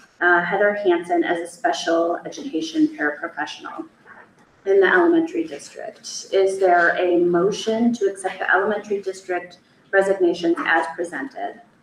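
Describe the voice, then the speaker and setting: Noticeable background noise runs under this recording. A woman with a medium-pitched voice talks with lively intonation. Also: moderate pace. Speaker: school board chair. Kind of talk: board meeting chairing. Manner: formal.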